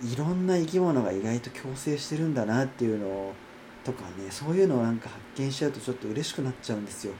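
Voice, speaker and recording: Over noticeable background noise, a man talks at a very fast pace. His medium-pitched voice has lively intonation. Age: 30s. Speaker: podcaster and acupuncture clinic worker. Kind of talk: casual solo monologue. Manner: higher pitch than usual today; hesitant, many fillers.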